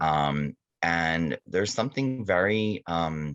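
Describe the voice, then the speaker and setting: A man's very deep, low voice with lively intonation. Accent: American. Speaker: abuse survivor advocate, foundation president. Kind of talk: interview. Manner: halting, many fillers.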